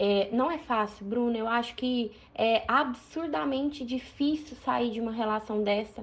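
Here is an unremarkable speaking voice from a woman, pitched fairly high, with ordinary pitch variation. She goes at a fairly slow pace with hardly any pauses. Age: 20s. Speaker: oral surgeon. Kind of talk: recorded advice commentary.

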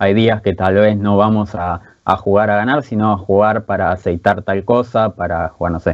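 A man with a Rioplatense accent, fairly low pitch and moderate pace. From Buenos Aires, Argentina. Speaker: esports coach and player. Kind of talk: casual interview.

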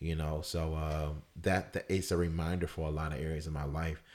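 Against a silent background in a very clean recording, a man with a very deep, low voice speaks at a moderate pace. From US South, Fayetteville, North Carolina. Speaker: comedian. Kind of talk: casual chat.

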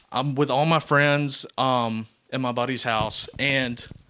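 A man speaks at a very slow pace with a bright, sharp tone. Intonation stays fairly even on a very clean recording with a silent background. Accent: Southern US. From US South, Georgia. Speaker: podcast guest. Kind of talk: casual chat.

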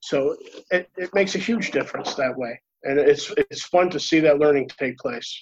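A man's ordinary speaking voice, fairly high in pitch, with ordinary pitch variation at a moderate pace. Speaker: reliability consultant. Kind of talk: panel discussion, live webinar Q&A. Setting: video call webinar.

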